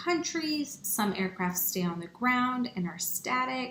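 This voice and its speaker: A woman's fairly high, plain, everyday voice at a fairly slow pace. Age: 30s. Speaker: pilot and aviation nonprofit founder. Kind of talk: online workshop presentation. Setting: online workshop. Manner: conversational with frequent fillers.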